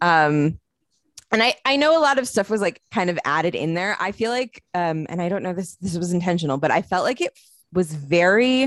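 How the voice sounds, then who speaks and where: A woman at a medium pitch and fairly quick pace, with lively intonation and a dry, close sound with no echo. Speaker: film podcast co-host. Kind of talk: casual chat.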